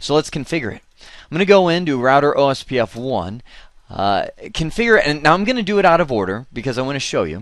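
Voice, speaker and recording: Talking at a very fast pace, a man with a fairly high pitch makes very wide pitch swings. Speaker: networking instructor. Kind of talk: tutorial. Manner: casual, conversational.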